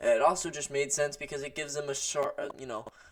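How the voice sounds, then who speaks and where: A man speaks with a fairly high pitch. There is noticeable background noise. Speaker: MMA commentator. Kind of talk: casual commentary monologue. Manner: halting, stuttering; many filler words.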